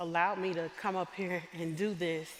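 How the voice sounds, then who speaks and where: A woman's moderate-paced speech comes through with noticeable background noise. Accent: American. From US South, southwest Arkansas. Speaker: chapel speaker, university instructor. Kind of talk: sermon. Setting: stage with audience in church. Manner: animated.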